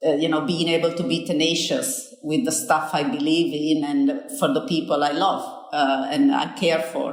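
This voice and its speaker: In a room with audible echo, a woman with a slight Italian accent talks at a moderate pace and a fairly low pitch, her pitch swinging very widely while her loudness stays very even. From Italy. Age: 50s. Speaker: business school dean. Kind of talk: interview.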